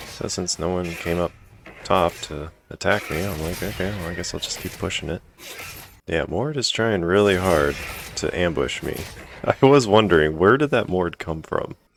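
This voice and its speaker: Here a man speaks in a very deep, low voice with lively intonation. His pace is moderate, and background noise is noticeable. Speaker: gaming commentator. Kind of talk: gameplay commentary.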